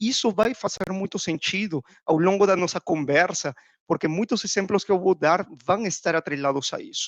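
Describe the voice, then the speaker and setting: Recorded dry and close with no echo, a man in a Peruvian accent speaks with ordinary pitch variation. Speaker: procurement executive. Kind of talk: podcast interview.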